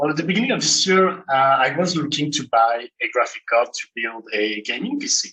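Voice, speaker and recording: A man with a French accent talks at a moderate pace in a fairly high voice. His intonation is lively. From France. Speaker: malware analyst. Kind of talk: conference talk.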